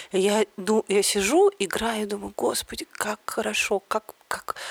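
The sound is dry and close with no echo as a woman speaks. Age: 40s. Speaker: podcast host. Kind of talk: casual chat.

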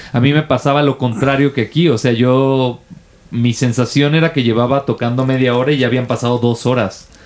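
A man with a plain, everyday voice speaks at a medium pitch. His pace is moderate and his intonation fairly even. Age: 30s. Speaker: podcast co-host. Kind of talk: casual chat.

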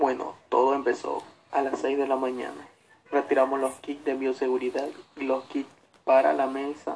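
A man at medium pitch and a moderate pace, with monotone, flat intonation. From Ecuador, Santa Elena province. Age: young. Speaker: election polling station worker. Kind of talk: radio interview.

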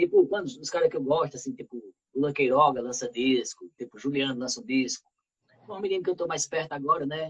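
A man with a normal speaking voice, fairly high pitch, ordinary pitch variation and a fairly quick pace, in a dry, close sound with no echo. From Arcoverde, Pernambuco, Brazil. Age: 30s. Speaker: musician. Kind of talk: casual chat.

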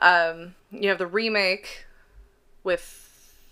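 Recorded very cleanly against a silent background, a woman uses a normal speaking voice at medium pitch with fairly even intonation. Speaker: podcast co-host. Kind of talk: casual chat.

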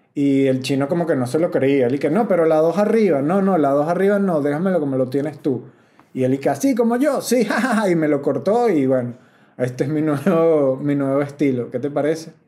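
A man with a Venezuelan accent speaks at a fairly quick pace in a fairly high pitch. His tone is dark and mellow, with lively intonation. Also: very even loudness. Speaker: comedian and podcast host. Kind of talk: casual podcast monologue. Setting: rented house.

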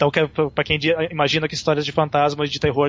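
A man's voice, fairly high in pitch. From Brazil. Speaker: blogger and film subtitler. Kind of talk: casual chat. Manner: halting.

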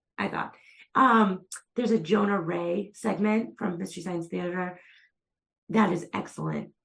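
A woman with an American accent speaks with vocal fry and ordinary pitch variation. She leaves long, frequent pauses. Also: medium pitch for a woman, moderate pace. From Massachusetts, US. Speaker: magazine editor and writer. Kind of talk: casual chat.

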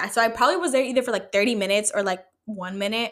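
An animated voice with ordinary pitch variation is captured in a very clean recording with a silent background. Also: woman. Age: 20s. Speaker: solo podcast host. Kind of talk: casual monologue.

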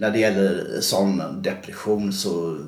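A man's fairly low voice with audible room echo. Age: 40s. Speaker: bus driver and former gambling addict. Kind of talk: interview testimony.

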